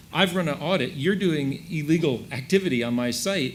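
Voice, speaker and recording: Lively intonation with an American accent and audible room echo. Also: man. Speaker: ad tech industry panelist. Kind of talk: panel discussion.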